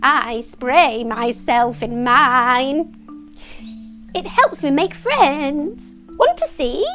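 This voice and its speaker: A woman uses a put-on character voice, high-pitched, raised and projected. She speaks at a very slow pace over clear music in the background. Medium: read story.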